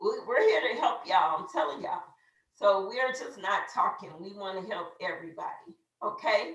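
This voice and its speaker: Speaking at a moderate pace, a woman's voice shows big swings in loudness, with audible room echo. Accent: American. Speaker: network marketing team leader. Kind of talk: motivational training talk. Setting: video call. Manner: animated.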